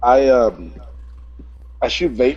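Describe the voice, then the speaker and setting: The speaker is a man with an East Texas accent. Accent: East Texas Southern. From US South, East Texas. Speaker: vape reviewer, vape shop worker. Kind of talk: casual chat.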